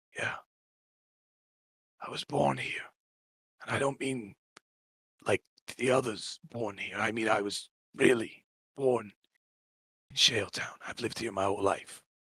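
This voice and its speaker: A put-on character voice, raspy and weary in tone, at a moderate pace. Long pauses come often. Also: man, medium pitch for a man. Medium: actual play. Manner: earnest, weary.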